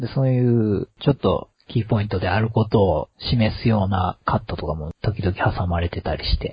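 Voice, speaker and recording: A man talks at a moderate pace with hardly any pauses and ordinary pitch variation. His fairly low voice is somewhat breathy. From Kansai. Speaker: podcast host. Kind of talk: casual chat.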